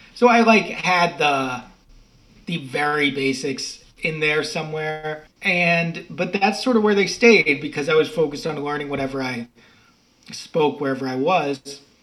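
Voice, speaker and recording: A man with an unremarkable speaking voice, fairly high in pitch, with ordinary pitch variation. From Massachusetts, US. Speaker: writer and podcaster. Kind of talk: casual interview conversation. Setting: video call from Spain.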